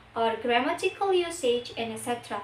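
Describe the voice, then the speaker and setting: A woman speaks with an Indonesian accent and lively intonation. Noticeable background noise is present. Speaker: university student. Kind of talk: class presentation.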